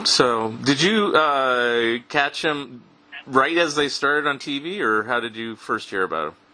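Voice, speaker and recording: Noticeable background noise behind a man's fairly slow speech, medium in pitch with ordinary pitch variation. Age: 50s. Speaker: podcast host. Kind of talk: casual chat. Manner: halting.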